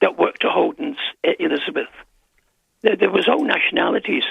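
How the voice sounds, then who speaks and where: This is a man's voice. His pitch is extremely high. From Scotland, Glasgow. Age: 70s. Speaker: caller. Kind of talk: casual chat. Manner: halting.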